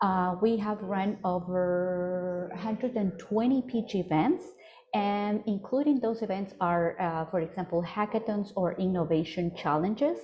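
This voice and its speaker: The speech moves at a fairly slow pace. Pitch varies in an ordinary way. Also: woman, medium pitch for a woman. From Ecuador. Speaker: startup program coordinator and pitch coach. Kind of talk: webinar presentation. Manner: halting, many fillers.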